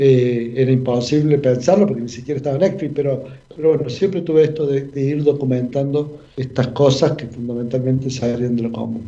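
A man speaks fairly quickly at a medium pitch, with hardly any pauses. His intonation stays fairly even, and the room echo is audible. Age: 50s. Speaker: paralympic athlete. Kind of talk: radio interview.

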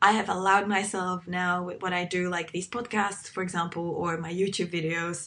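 A woman speaks at a medium pitch with a Czech accent. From Czech Republic. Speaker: podcast host. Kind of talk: casual chat. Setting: video call.

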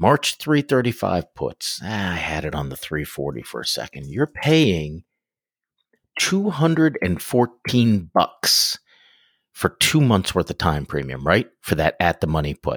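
In a dry, close sound with no echo, a man talks at a fairly slow pace with vocal fry and very wide pitch swings. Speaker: podcast co-host. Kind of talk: casual chat.

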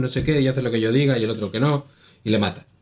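A plain, everyday voice from a man, its pitch varying in an ordinary way. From Spain. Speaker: podcast co-host. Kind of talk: casual chat.

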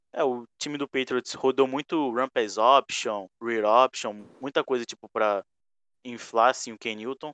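A man with a normal speaking voice at medium pitch talks at a fairly slow pace, the sound dry and close with no echo over a quiet background. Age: 20s. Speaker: podcast host and NFL fan. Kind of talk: casual chat. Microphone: mic badly placed early on.

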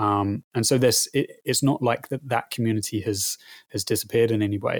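A somewhat breathy man's voice, fairly low in pitch, at a moderate pace, with a dry, close sound and no echo. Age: 30s. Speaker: hobby gamer guest. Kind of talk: casual chat. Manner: halting.

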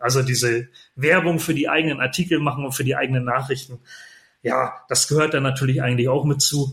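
A man with a medium pitch speaks in a monotone, flat intonation. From northern Germany, near Bremen (Lower Saxony). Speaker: podcaster and club press officer. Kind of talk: interview conversation. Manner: hesitant fillers (äh, ähm).

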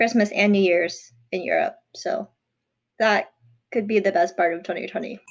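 With lively intonation, a woman speaks at a moderate pace, leaving long, frequent pauses. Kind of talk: casual chat.

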